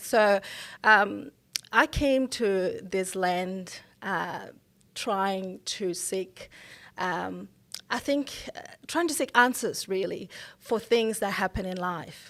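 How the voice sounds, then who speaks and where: Speaking very slowly with long, frequent pauses, a woman with a Botswana accent uses a medium pitch and ordinary pitch variation on a very clean recording with a silent background. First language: Setswana. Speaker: mental health professional. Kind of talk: interview.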